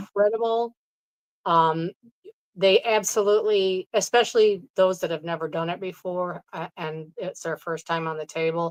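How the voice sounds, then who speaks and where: A woman with an American accent speaks in an ordinary speaking voice at medium pitch and a moderate pace, with ordinary pitch variation and a dry, close sound with no echo. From New York State. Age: 60s. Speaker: Reiki practitioner. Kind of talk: interview answer.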